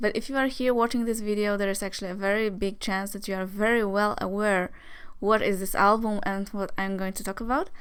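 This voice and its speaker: A woman speaks with a Polish accent in a medium pitch. Her intonation is monotone and flat, and her pace is fairly quick. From Poland. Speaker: music vlogger. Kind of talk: casual album review vlog. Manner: hesitant, many fillers.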